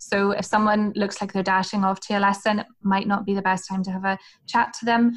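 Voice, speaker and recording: Somewhat breathy, a woman speaks with a Northern Irish accent at medium pitch. Her pace is fairly quick. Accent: Northern Irish, Hillsborough area. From Northern Ireland. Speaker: former language assistant and teacher. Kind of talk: casual interview chat giving advice.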